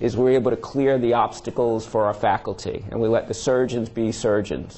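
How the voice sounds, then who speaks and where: With a slight New York accent, a man speaks at a moderate pace with fairly even intonation. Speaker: surgeon and department chair. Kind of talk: lecture. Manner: frequent filler words, halting.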